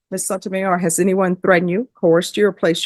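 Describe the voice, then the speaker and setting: Talking very fast with a Louisiana accent, a woman at a medium pitch keeps a fairly even intonation over a dry, close sound with no echo. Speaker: judge. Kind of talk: courtroom plea hearing. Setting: courtroom. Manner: formal.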